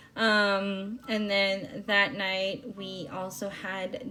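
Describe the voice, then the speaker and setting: Music plays in the background. Over it, a woman speaks. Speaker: planner vlogger. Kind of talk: voiceover narration. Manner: hesitant, many fillers.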